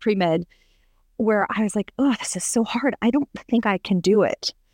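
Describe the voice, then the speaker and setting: A woman with an American accent at a moderate pace, with ordinary pitch variation, in a dry, close sound with no echo on a very clean recording with a silent background. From US West Coast, Los Angeles. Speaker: opera singer. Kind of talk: casual interview chat. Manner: many fillers and hesitations.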